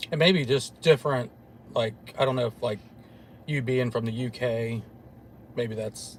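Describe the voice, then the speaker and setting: Man with an American accent, medium pitch and a somewhat breathy voice, at a moderate pace with long, frequent pauses and ordinary pitch variation. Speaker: paranormal investigator show host. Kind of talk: casual chat.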